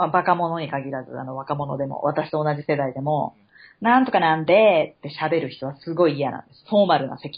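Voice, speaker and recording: A woman with a very deep, low pitch speaks at a fairly quick pace, her loudness swinging widely while her pitch varies in an ordinary way. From Japan, Chiba. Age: 30s. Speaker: podcast co-host. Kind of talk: casual chat. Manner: animated.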